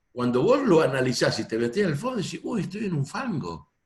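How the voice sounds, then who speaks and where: Pitched fairly high, a man's voice swings very widely in pitch and shows vocal fry. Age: 60s. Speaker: audience participant, educator. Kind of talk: question in discussion. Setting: video call.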